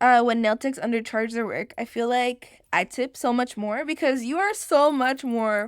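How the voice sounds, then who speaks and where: Speaking with hardly any pauses, a woman uses a high pitch and an animated tone. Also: ordinary pitch variation, moderate pace. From Mexico. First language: Spanish. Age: 20s. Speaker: podcast host. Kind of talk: casual chat.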